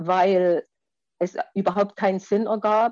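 A woman's dark, mellow tone, in dry, close sound with no echo. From Erzgebirge, Saxony, East Germany. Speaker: former middle-distance runner. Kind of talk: storytelling in online salon.

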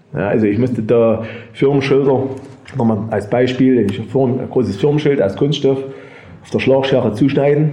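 With ordinary pitch variation and a medium pitch, the man talks through noticeable background noise and audible room echo. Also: moderate pace. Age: 50s. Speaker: engraving master, business owner. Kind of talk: storytelling in a group talk.

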